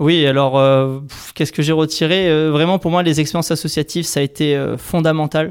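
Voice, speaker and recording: Monotone, flat intonation marks this man's fairly high pitch. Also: moderate pace, very even loudness. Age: 30s. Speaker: engineer working for an environmental nonprofit. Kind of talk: interview.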